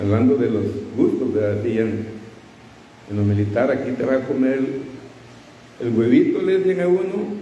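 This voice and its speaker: With audible room echo and noticeable background noise, a man speaks with lively intonation. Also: medium pitch for a man, fairly slow pace. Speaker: preacher. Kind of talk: sermon.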